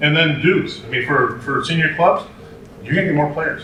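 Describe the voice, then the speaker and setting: With noticeable background noise and audible room echo, a man speaks at a fairly quick pace in a fairly high pitch with ordinary pitch variation. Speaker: youth rugby club director. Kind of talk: conference talk. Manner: fast; animated.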